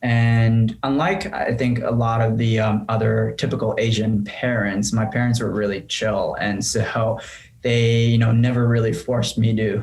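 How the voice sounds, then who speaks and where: A man's somewhat breathy voice, fairly slow and fairly even in intonation, with very even loudness and audible room echo. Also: medium pitch for a man. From Japan (Tokyo). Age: 30s. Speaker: entrepreneur. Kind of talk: interview. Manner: halting.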